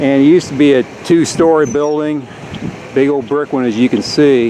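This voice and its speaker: There is noticeable background noise as a man with an American accent talks at a moderate pace. His voice is fairly high-pitched and relaxed in tone, with fairly even intonation. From US Midwest (rural Indiana). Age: 60s. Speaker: local history video maker. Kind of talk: casual narration while touring. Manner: relaxed, conversational with hesitations.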